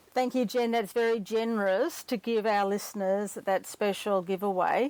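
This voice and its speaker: With an Australian accent, a woman talks at a moderate pace in a fairly high pitch, her loudness very even and her intonation fairly even. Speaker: podcast host, breakup recovery mentor. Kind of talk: podcast outro.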